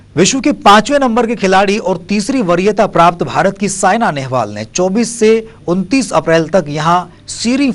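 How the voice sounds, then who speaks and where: A man talks with lively intonation. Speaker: news anchor, sports bulletin reader. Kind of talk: TV news bulletin read.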